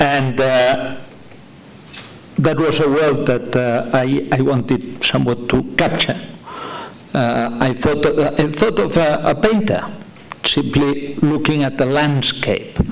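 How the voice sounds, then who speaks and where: Through noticeable background noise and audible room echo, a man with a Catalan accent speaks very slowly at a fairly high pitch, with long, frequent pauses, very even loudness and ordinary pitch variation. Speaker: novelist. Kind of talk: panel discussion. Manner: halting.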